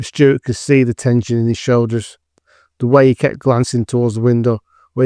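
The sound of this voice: A quiet background and an unforced reading voice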